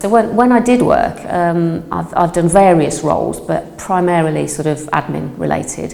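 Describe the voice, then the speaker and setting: Audible room echo and noticeable background noise accompany this woman as she talks. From Birmingham, England (Northfield). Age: 60s. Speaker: retired office worker, project participant. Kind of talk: interview. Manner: hesitant, many filler ums.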